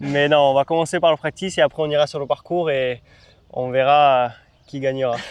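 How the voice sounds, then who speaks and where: Speaking at a fairly quick pace, a man uses an unremarkable speaking voice with a fairly high pitch and fairly even intonation. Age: 20s. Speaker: golf coach, former pro golfer. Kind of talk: casual instructional chat.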